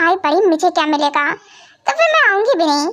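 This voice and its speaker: Using a put-on character voice, a woman sounds squeaky at an extremely high pitch, keeping a moderate pace and very even loudness. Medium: fan dub. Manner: cheeky.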